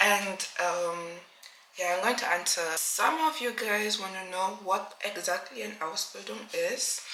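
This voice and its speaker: Slowish female speech amid noticeable background noise and audible room echo. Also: medium pitch for a woman, ordinary pitch variation. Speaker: vlogger. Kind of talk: casual vlog.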